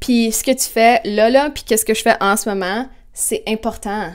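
Against a quiet background, a woman speaks at a fairly high pitch. Her tone is animated, with lively intonation. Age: 20s. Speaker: vlogger. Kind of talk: casual vlog monologue. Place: kitchen. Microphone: lapel.

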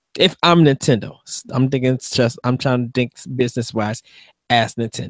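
A man talks at a moderate pace, the sound dry with no echo and the background quiet. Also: fairly even intonation. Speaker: podcast co-host. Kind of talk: casual chat. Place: home room. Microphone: studio mic.

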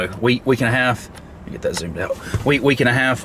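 Light background noise runs under the recording. The speaker is a man. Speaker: bowhunter vlogger. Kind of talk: casual vlog chat. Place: car. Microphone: phone near.

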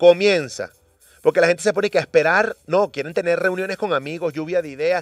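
Against a quiet background, a man with a high pitch talks at a fairly quick pace in an animated tone, his loudness swinging widely and the sound dry with no echo. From Venezuela. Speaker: radio host. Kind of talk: morning radio show chat. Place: studio.

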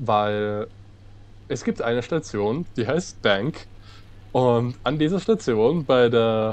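Very slow delivery from a man, his pitch varying in an ordinary way. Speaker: let's-play gamer driving the train. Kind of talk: casual gaming commentary.

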